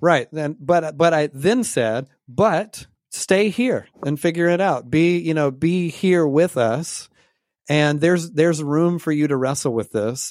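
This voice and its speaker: A man with a normal speaking voice, fairly high in pitch, with ordinary pitch variation at a fairly slow pace, in a very clean recording with a silent background. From US South, Georgia. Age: 30s. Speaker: pastor, author and former rock musician. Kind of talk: interview conversation.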